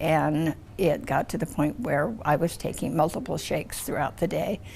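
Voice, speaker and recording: A woman's voice with vocal fry and a Western US accent. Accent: American, western US. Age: 70s. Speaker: multiple sclerosis patient. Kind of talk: testimony. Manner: animated.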